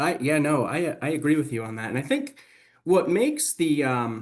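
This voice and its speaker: A fairly high-pitched man with a Boston accent at a fairly slow pace, against a quiet background. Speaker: webinar host, healthcare facilities expert. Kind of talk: webinar discussion. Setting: online webinar. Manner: animated.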